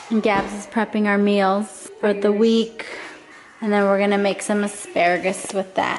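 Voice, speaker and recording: Against noticeable background noise, a woman speaks at a moderate pace in a monotone, flat way. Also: medium pitch for a woman. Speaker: lifestyle vlogger. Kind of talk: vlog narration. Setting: at home. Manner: casual, chatty.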